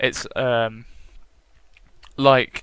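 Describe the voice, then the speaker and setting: A man with a British accent speaks in a bright, sharp tone with monotone, flat intonation. The recording is very clean, with a silent background. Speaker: gaming vlogger. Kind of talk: casual vlog monologue.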